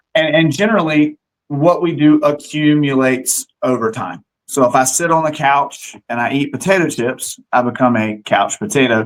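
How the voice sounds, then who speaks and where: A man's fairly high voice, an unremarkable speaking voice, at a moderate pace with ordinary pitch variation. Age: 40s. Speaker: fitness gym owner and trainer. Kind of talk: interview.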